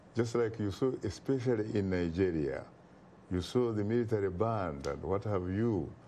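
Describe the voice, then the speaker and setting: Fairly low in pitch with a dark, mellow tone, a man speaks at a moderate pace with ordinary pitch variation amid audible room echo. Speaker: talk show host and political commentator. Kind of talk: TV talk show discussion. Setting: TV studio.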